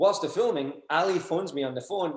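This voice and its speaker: High-pitched for a man, the speaker talks at a moderate pace with lively intonation in a Glaswegian accent. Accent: Glaswegian Scottish. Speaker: BMX industry figure whose life inspired a film. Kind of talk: casual interview chat. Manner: animated.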